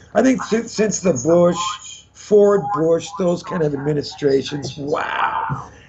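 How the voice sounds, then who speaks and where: Noticeable background noise sits under a man's high-pitched voice. He talks at a very slow pace with lively intonation. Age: 50s. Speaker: actor. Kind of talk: casual chat.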